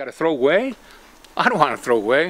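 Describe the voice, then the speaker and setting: A man speaks at a moderate pace. He has a Greek accent. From Greece. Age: 80s+. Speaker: retired gardener who donates produce. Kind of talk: casual interview. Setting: outdoors. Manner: halting. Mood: proud, warm, cheerful. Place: garden.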